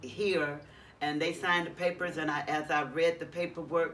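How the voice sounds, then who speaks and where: The delivery is monotone and flat, with noticeable background noise behind it. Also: woman. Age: 60s. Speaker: formerly homeless person in shelter hotel. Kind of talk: interview testimony. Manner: halting.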